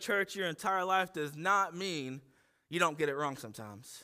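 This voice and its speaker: A man with an American accent uses a raised, projected voice with a bright, sharp tone and ordinary pitch variation in a very clean recording with a silent background. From Ohio, US Midwest. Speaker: pastor. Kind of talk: sermon. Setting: church.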